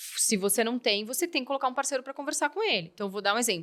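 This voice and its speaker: A woman's bright, sharp tone comes through at a very fast pace with ordinary pitch variation. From Curitiba, southern Brazil. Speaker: company health director, physician. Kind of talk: podcast interview.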